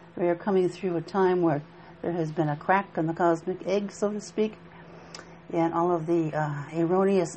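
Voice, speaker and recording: A woman speaks with a fairly low pitch. Her intonation is monotone and flat. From Appalachia. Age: 70s. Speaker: minister. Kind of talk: spiritual teaching talk. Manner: halting.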